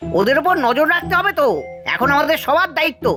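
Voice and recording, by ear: A cartoonish character voice talks at a moderate pace, with clear music in the background.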